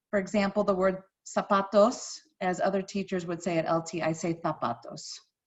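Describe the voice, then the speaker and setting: A somewhat breathy voice with an American accent. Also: woman. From US Midwest, St. Louis, Missouri. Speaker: high school Spanish teacher. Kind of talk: course introduction video for parents and students. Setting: screen-share presentation recording.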